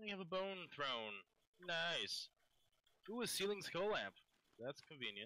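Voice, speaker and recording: A man speaks in a high pitch with a bright, sharp tone and very wide pitch swings. He leaves long, frequent pauses, and the sound is dry and close with no echo. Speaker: gaming channel co-host. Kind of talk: casual chat. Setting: online voice chat.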